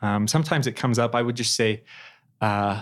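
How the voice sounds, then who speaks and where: A man with a plain, everyday voice and an American accent talks at a medium pitch and fairly quick pace with fairly even intonation, on a very clean recording with a silent background. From Idaho, Twin Falls. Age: 20s. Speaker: law graduate and returned missionary. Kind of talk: interview testimony.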